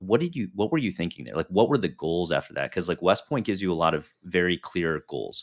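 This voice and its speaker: In a very clean recording with a silent background and a dry, close sound with no echo, a man with a Midwestern American accent and a very deep, low pitch talks at a very fast pace with lively intonation and hardly any pauses. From northern suburbs of Chicago. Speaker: podcast host, military veteran. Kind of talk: interview. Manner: casual, filler-heavy.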